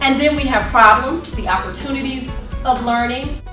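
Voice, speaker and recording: Clear music plays in the background, and room echo is audible. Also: woman. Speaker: presenter. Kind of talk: lecture. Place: classroom.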